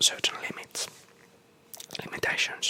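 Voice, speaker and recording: Someone whispers in a relaxed tone at a moderate pace over noticeable background noise. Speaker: ASMR content creator / gamer. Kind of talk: whispered ASMR gameplay tour, rambling. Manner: whispered, soft, relaxed.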